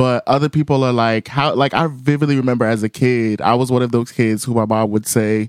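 In an ordinary speaking voice, a man talks fairly quickly with hardly any pauses, medium pitch, fairly even intonation and very even loudness, the sound dry and close with no echo. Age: 20s. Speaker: singer and music journalist. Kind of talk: casual interview.

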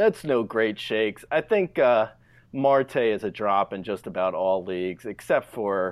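Speaking fairly slowly with a New Jersey accent, this man has a fairly low pitch and ordinary pitch variation. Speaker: fantasy baseball podcast host. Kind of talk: casual chat.

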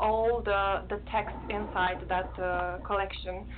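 A woman with a Romanian accent, speaking at a very slow pace. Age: 30s. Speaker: poet. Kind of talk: casual chat. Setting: video call.

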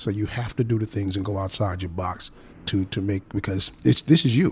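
Somewhat breathy, this voice moves at a fairly quick pace in a New York accent. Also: man. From the Bronx, New York. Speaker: author and comedian. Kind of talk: panel discussion. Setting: studio. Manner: halting, many fillers.

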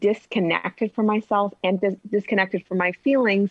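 Speaking with an American accent, a woman with an ordinary speaking voice keeps a medium pitch, a moderate pace and fairly even intonation. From US Midwest, north suburbs of Chicago. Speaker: intuitive relationship coach and author. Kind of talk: interview, personal story.

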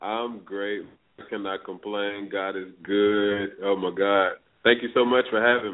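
A man speaks at a fairly slow pace in a fairly low pitch. His intonation is monotone and flat, while his loudness swings widely. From northeast Florida (Palatka, near Jacksonville). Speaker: R&B singer. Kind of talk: casual interview.

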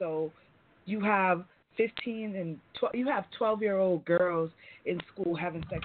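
Her voice is an unremarkable speaking voice, fairly low for a woman, with ordinary pitch variation. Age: 30s. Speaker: IT specialist and self-described sex expert. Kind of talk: call-in radio discussion. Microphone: connection breaking up.

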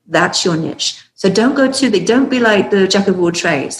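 A woman with an English accent, medium-pitched, at a fairly quick pace with lively intonation. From UK. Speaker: author and business consultant. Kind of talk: casual interview chat.

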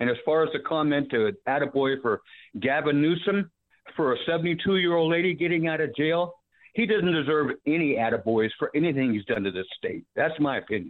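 Using a plain, everyday voice, a man speaks at a fairly quick pace with a fairly high pitch. His intonation is lively, and his loudness stays very even. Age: 60s. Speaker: caller, retired diesel mechanic. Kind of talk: radio call-in. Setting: phone call.

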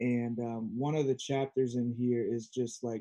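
At a fairly slow pace, a man with an American accent speaks in a dark, mellow tone with monotone, flat intonation. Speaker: conscious media creator and musician. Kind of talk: casual chat. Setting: video call.

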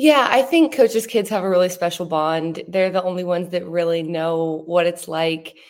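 A woman speaks with a fairly low pitch, ordinary pitch variation and a moderate pace, in a normal speaking voice. The recording is very clean, with a silent background. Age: 20s. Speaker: sports TV reporter, former college swimmer. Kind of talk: casual interview chat.

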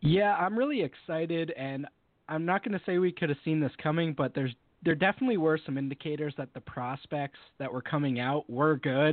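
A plain, everyday voice from a man with an American accent, fairly high in pitch, fairly quick in pace, with ordinary pitch variation. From Western Massachusetts. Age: 20s. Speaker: football writer. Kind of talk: casual interview.

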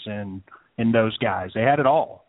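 A man talks with a normal speaking voice at a moderate pace. His pitch sits in the medium range. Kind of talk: casual chat.

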